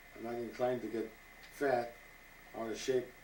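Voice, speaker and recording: Audible room echo hangs around the voice. The delivery keeps a moderate pace. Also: man. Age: 80s+. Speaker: retired scout leader. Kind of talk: interview. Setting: at his home. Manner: halting.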